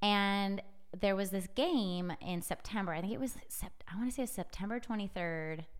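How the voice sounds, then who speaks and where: Her pitch is medium, with ordinary variation, as a woman with an American accent talks at a moderate pace. Room echo can be heard. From US Pacific Northwest, Edmonds near Seattle. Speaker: sports media startup CEO. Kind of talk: casual interview. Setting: studio.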